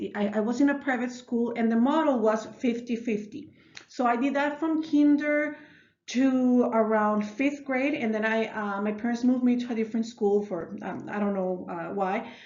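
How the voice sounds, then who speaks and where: A woman speaks with a Mexican accent at a fairly high pitch and with ordinary pitch variation. The room echo is audible. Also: moderate pace. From northern Mexico, Ciudad Juarez. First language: Spanish. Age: 30s. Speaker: elementary school teacher. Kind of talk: self-narrated class reflection. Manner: hesitant, many fillers and restarts.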